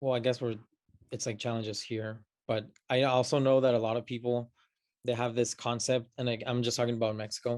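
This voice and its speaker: The speaker has a Spanish accent and a fairly quick pace. The intonation is monotone and flat. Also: man, medium pitch for a man. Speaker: podcast guest. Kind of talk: casual chat. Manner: halting, many fillers.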